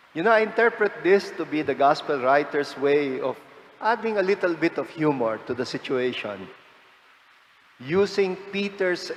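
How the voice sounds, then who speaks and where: A man with a high pitch speaks at a fairly slow pace. Noticeable background noise runs through the recording. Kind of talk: homily.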